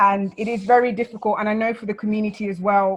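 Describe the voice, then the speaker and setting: Speaking in a London accent, a woman talks at a fairly quick pace with a fairly high pitch and a monotone, flat intonation. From London, England (born South Sudan). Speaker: refugee speaker.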